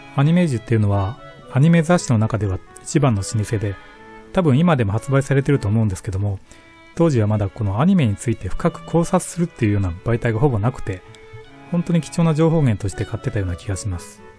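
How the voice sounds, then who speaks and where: With music in the background, a man of medium pitch talks very fast, his pitch swinging very widely. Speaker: shop owner. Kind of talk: casual talk about collectibles.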